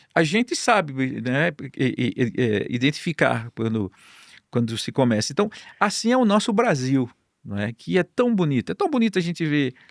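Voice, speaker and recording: The speaker talks at a moderate pace in a Paraíba accent, with very wide pitch swings. The sound is dry and close, with no echo. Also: man, fairly high pitch for a man. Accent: Paraíba northeastern Brazilian. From Northeast Brazil, Campina Grande, Paraíba. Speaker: Bible society distribution director. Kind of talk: podcast interview.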